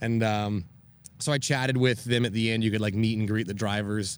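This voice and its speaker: A normal speaking voice with an American accent, at a moderate pace. The intonation stays fairly even over a quiet background. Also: man. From Maine, US. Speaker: rally driver and motorsport director. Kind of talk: casual interview.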